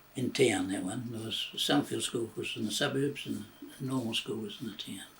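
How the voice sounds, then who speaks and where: A man with a New Zealand accent speaks at a fairly quick pace with fairly even intonation. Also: medium pitch for a man. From New Zealand, Christchurch. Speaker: retired railway worker. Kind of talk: oral history interview. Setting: at home. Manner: halting, many fillers.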